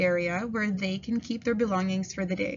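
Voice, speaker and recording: A woman talks at a medium tempo, her intonation fairly even, with noticeable noise behind her. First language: French. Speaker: kindergarten French teacher. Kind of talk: school open house presentation. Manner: formal.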